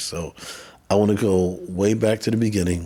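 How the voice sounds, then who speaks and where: Here a man talks with an American accent. His tone is dark and mellow, his intonation fairly even. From New York, Bronx and Queens. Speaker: podcast host. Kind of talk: interview.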